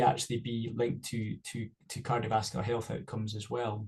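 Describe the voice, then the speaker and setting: This man has a Scottish accent and a medium pitch. His tone is dark and mellow, and somewhat breathy. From Scotland. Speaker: cardiovascular researcher. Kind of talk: webinar panel discussion.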